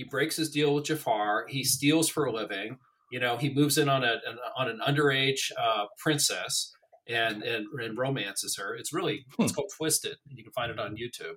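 The tone is bright and sharp, with big swings in loudness. The pace is moderate and the pitch varies in an ordinary way. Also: man, medium pitch for a man. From Colorado, US. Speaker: political writer. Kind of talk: casual chat.

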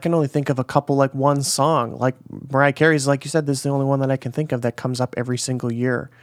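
An unremarkable speaking voice from a man with an American accent, medium pitch, fairly even intonation and a dry, close sound with no echo. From US Midwest. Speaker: podcast host. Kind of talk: casual interview; scripted podcast intro. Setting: remote call.

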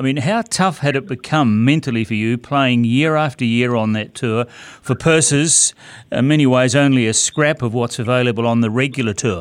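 Recorded very cleanly against a silent background, the speaker has a New Zealand accent, a moderate pace and ordinary pitch variation. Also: man, medium pitch for a man. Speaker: golf podcast host. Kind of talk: interview. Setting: studio.

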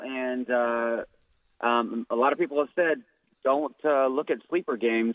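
The speaker is a man. His pitch is medium. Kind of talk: phone call-in to a radio show. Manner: halting, filler-heavy, chatty.

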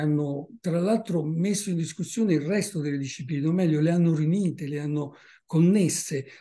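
A high-pitched man's voice, dark and mellow in tone with ordinary pitch variation, at a fairly quick pace over a quiet background. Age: 70s. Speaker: naturalist and author. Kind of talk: book presentation talk.

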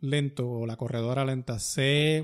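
A man in a Puerto Rican accent at a medium pitch, very slow pace and ordinary pitch variation. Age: 50s. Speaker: podcast host and runner. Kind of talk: casual chat. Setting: studio.

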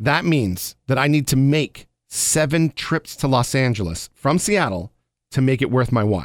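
An ordinary speaking voice with lively intonation moves at a moderate pace with very even loudness, the sound dry and close with no echo on a very clean recording with a silent background. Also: man, medium pitch for a man. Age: 40s. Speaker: podcast co-host. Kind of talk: casual chat.

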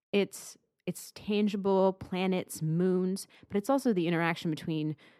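A normal speaking voice moves at a moderate pace with ordinary pitch variation. The recording is very clean with a silent background, and the sound is dry and close with no echo. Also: woman. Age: 20s. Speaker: planetary scientist. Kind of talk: interview.

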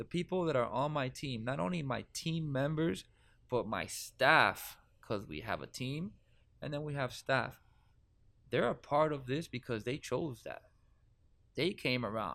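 In a Miami accent, the voice carries a bright, sharp tone and ordinary pitch variation on a very clean recording with a silent background. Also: man, medium pitch for a man. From Miami, Florida. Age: 30s. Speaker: cannabis event organizer. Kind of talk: casual interview. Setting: studio.

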